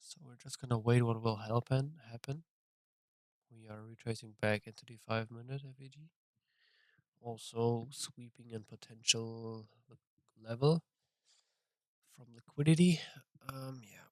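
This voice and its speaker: With a non-native accent, a man speaks fairly slowly in a medium pitch, his intonation fairly even, his loudness swinging widely, with long, frequent pauses in a dry, close recording with no echo. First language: not English. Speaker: trader streaming his trading session. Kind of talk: live trading commentary. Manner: casual, halting with fillers.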